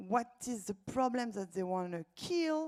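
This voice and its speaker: A woman speaks with a French accent at a fairly high pitch, her voice making very wide pitch swings. She talks at a fairly slow pace over a very clean recording with a silent background. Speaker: startup accelerator co-founder and event host. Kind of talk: live event introduction. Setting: stage with audience. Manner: hesitant with fillers.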